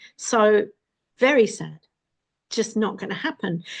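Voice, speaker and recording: Against a quiet background, a woman with a fairly high pitch speaks somewhat breathily, with ordinary pitch variation. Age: 60s. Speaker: vlogger. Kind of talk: casual monologue. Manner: conversational.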